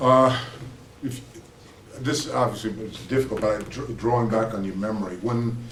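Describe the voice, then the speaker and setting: A man speaks at a moderate pace with medium pitch and fairly even intonation, with noticeable background noise and audible room echo. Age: 60s. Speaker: interviewer. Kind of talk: interview.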